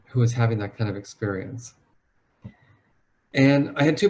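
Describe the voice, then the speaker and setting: A man talks with a medium pitch and a fairly quick pace. His voice is somewhat breathy, with lively intonation. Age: 50s. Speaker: psychologist. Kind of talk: webinar talk.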